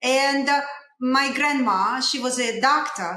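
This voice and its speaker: Audible room echo carries a high-pitched woman's voice in a Russian accent. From Russia, Saint Petersburg. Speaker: dentist. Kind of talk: interview storytelling. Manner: halting, many fillers.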